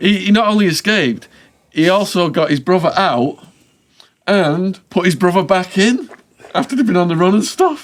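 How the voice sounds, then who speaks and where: Pausing long and often, a man with a high pitch speaks at a moderate pace with lively intonation and very even loudness. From northern England, Widnes. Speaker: podcast host. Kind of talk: casual chat.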